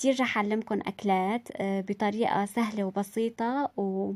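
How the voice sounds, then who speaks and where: A woman speaks at a fairly slow pace with a monotone, flat intonation. The recording is very clean, with a silent background. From Syria, Aleppo. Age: 20s. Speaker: vlogger. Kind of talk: casual vlog introduction. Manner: halting, many fillers.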